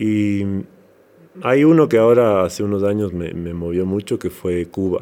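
At a fairly low pitch with ordinary pitch variation, a man speaks at a fairly slow pace. The recording is very clean, with a silent background. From Ecuador, Quito (highlands), Manabí family. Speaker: musician and actor. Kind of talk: interview. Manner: halting with repetitions.

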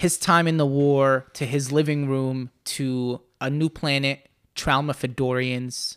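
In a very clean recording with a silent background and a dry, close sound with no echo, a man speaks at a fairly high pitch. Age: 20s. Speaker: podcast host, book discussion. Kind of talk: casual chat. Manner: animated; halting.

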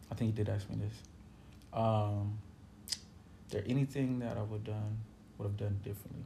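The speaker talks in a monotone, flat intonation, leaving long, frequent pauses. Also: man, fairly low pitch for a man, moderate pace. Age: 30s. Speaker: musician. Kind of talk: casual chat.

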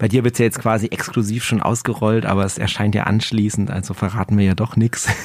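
A man's fairly low voice, very fast and fairly even in intonation, with hardly any pauses and noticeable background noise. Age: 40s. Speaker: music podcaster and vinyl collector. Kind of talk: casual interview chat. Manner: hesitant, many filler sounds.

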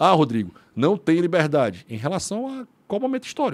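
Fairly high-pitched male speech with very wide pitch swings and vocal fry, in a dry, close sound with no echo. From Brazil, Ceará (Fortaleza). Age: 40s. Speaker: lawyer and libertarian think tank member. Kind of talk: casual chat.

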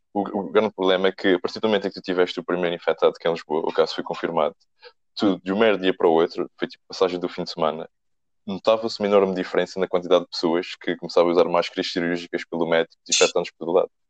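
Very deep and low, a man's voice races at a very fast pace in a monotone, flat intonation. The sound is dry and close with no echo, and his loudness swings widely. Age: young. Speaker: podcast co-host. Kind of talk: casual chat.

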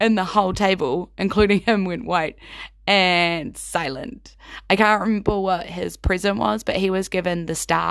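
The reading voice is unforced. Intonation holds fairly even throughout.

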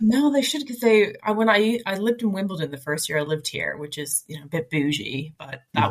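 Lively intonation marks a woman's speech, delivered at a fairly quick pace. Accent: Atlantic Canadian. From Nova Scotia, Halifax. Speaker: digital marketer. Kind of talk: casual chat.

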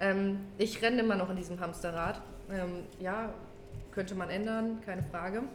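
With audible room echo and noticeable background noise, a woman of medium pitch talks at a moderate pace with fairly even intonation. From Germany, near Kassel (northern Hesse). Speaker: outpatient care worker. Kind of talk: casual chat.

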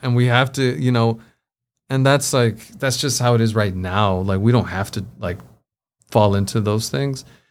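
On a very clean recording with a silent background, a man speaks at a moderate pace and medium pitch with ordinary pitch variation in a plain, everyday voice. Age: 30s. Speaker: tech community co-founder. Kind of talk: casual chat.

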